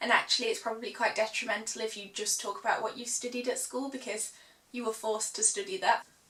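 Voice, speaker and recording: Amid noticeable background noise, a woman with a British accent talks at a very fast pace, with a fairly high pitch and fairly even intonation. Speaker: law student. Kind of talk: casual advice talk to camera.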